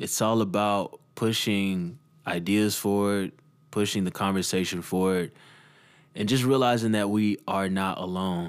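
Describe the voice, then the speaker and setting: A man with an American accent speaks at a fairly slow pace, fairly low in pitch and with fairly even intonation, in an unremarkable speaking voice. The recording is very clean, with a silent background. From Texas, Dallas. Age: 20s. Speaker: music producer and podcast host. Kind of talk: solo podcast monologue. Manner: casual, relaxed.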